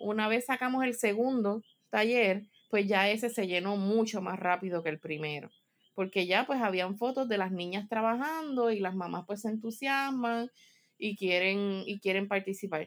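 A normal speaking voice from a woman with a medium pitch and ordinary pitch variation, on a very clean recording with a silent background. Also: moderate pace. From Puerto Rico. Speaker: mental health counselor and workshop organizer. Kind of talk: casual chat.

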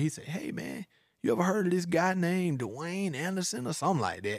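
Lively intonation and a very fast pace mark this speaker with a Georgia accent. The recording is very clean, with a silent background. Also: man. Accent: Southern US, Georgia. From US South, middle Georgia (Forsyth, Monroe County). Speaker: rapper and film producer. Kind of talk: casual chat.

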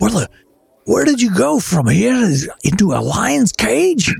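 A raspy put-on character voice. It moves at a fairly slow pace. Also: man, high pitch for a man. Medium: actual play. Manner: earnest.

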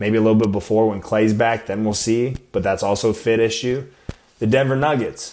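An ordinary speaking voice, this man's comes with an American accent, a fairly quick pace, medium pitch and fairly even intonation. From US Midwest and Arizona. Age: 20s. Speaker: podcast host and Marine. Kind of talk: casual solo podcast talk.

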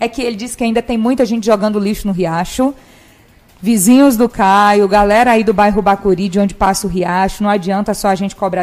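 A woman with an unremarkable speaking voice, medium pitch, fairly even intonation and a fairly quick pace. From Imperatriz, Maranhão, Brazil. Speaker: journalist and live show host. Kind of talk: live interview show. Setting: studio.

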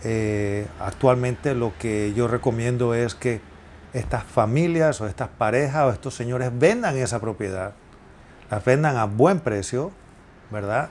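A man with a medium-pitched voice and ordinary pitch movement talks fairly slowly. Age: 50s. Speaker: real estate agent. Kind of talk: solo podcast monologue. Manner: halting, many filler sounds.

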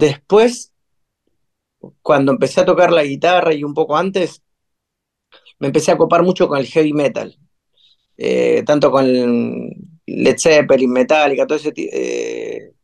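A man with a Rioplatense accent speaks at a fairly slow pace. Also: long, frequent pauses. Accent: Rioplatense Spanish (porteño). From Buenos Aires, Argentina. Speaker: musician, band singer. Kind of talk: interview conversation. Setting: home recording room, remote. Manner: hesitant, many fillers.

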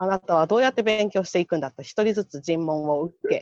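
Fairly quick and with lively intonation, a woman speaks in an unremarkable speaking voice. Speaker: public health nurse volunteer. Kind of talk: casual chat.

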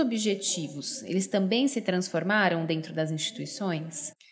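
A woman's ordinary speaking voice at medium pitch, moderate pace, and ordinary pitch variation. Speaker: podcast host. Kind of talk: interview.

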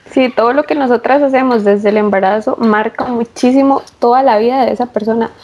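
A woman talks at a fairly quick pace and a fairly high pitch, with hardly any pauses. Her loudness stays very even over noticeable background noise. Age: 20s. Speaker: pregnant forestry engineer. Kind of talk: casual interview.

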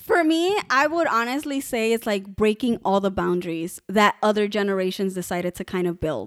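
In a plain, everyday voice, a woman at medium pitch talks at a moderate pace with lively intonation and hardly any pauses, in a dry, close sound with no echo on a very clean recording with a silent background. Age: 20s. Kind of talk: casual chat. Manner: laughs often.

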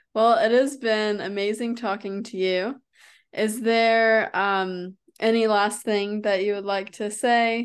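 Over a quiet background, a woman with an American accent speaks at a fairly slow pace. She has a normal speaking voice, medium pitch and fairly even intonation. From United States. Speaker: health and wellness coach, podcast host. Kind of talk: interview. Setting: remote call.

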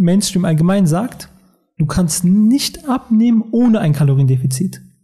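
Pitched high, this man talks with lively intonation. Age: 20s. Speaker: weight-loss coach and naturopath. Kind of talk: casual podcast interview.

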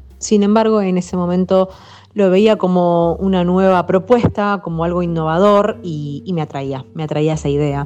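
A woman's voice shows ordinary pitch variation, with music playing in the background. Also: fairly low pitch for a woman, moderate pace. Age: 30s. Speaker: veterinarian. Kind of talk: interview.

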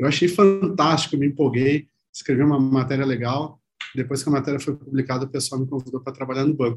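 A man talks very fast with a southern Brazilian accent. His voice is somewhat breathy, and his intonation stays fairly even. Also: fairly high pitch for a man. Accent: gaúcho (southern Brazilian). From Rio Grande do Sul, Brazil. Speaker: PR agency CEO, former journalist. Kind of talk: interview.

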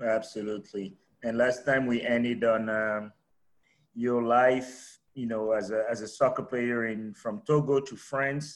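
A plain, everyday voice with fairly even intonation, at a fairly slow pace. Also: man, medium pitch for a man. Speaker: podcast co-host. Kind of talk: casual interview chat.

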